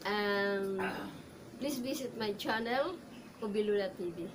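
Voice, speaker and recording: A woman's medium-pitched voice with a Filipino accent, very slow, with ordinary pitch variation, audible room echo and noticeable background noise. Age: 50s. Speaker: actor and commercial model. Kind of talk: audition self-introduction. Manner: halting.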